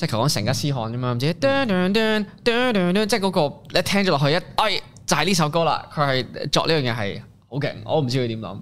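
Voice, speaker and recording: At a moderate pace, a man speaks at a fairly high pitch, his pitch swinging very widely. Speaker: rapper and singer-songwriter. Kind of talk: casual interview chat.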